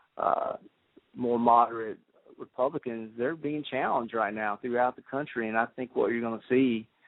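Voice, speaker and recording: A man speaks with a Southern US accent. His pitch is medium and his pace moderate. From South Carolina Midlands. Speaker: grassroots political activist. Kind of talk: radio talk show interview. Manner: halting.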